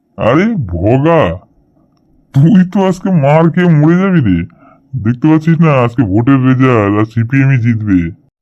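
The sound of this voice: Putting on a cartoonish character voice, a man at medium pitch speaks at a moderate pace with very wide pitch swings.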